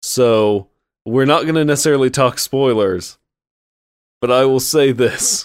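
Pausing long and often, a man talks at a fairly slow pace and medium pitch, with ordinary pitch variation and very even loudness. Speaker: podcast host. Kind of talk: casual chat. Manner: animated.

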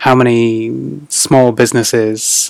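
With a northern English accent, a man speaks at medium pitch. His intonation stays fairly even. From northeast England. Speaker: chocolate shop founder. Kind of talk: casual interview.

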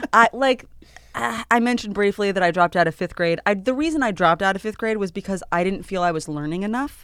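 Very fast and with lively intonation, a woman speaks at a medium pitch. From grew up on an island. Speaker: comedian and actor. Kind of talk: casual chat.

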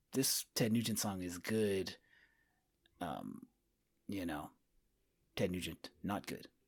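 In a very clean recording with a silent background, a man with an American accent speaks very slowly at a very deep, low pitch, with ordinary pitch variation and long, frequent pauses. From Winters, California (near Sacramento). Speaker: podcast host, guest. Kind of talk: casual chat.

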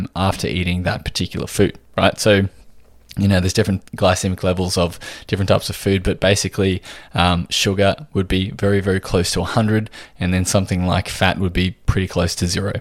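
A man with a very deep, low pitch, monotone and flat, at a fairly quick pace, in a very clean recording with a silent background. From Australia. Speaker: podcast host and nutritional therapist. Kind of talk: solo podcast talk.

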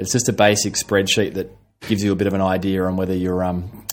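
A man speaks very fast with an Australian accent. His pitch is fairly low. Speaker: physiotherapist. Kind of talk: interview.

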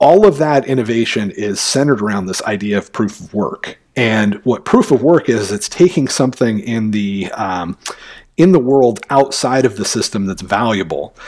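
A man with an ordinary speaking voice at medium pitch talks at a moderate pace, his lively intonation paired with big swings in loudness on a very clean recording with a silent background. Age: 40s. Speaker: bitcoin educator. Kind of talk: interview.

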